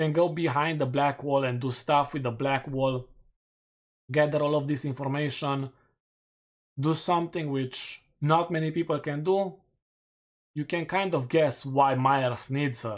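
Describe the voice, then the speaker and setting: With a Romanian accent, a man speaks at a fairly slow pace in a fairly high voice, keeping his intonation fairly even and leaving long, frequent pauses. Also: very clean recording, silent background. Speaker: gaming streamer. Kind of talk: live stream commentary. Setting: live stream.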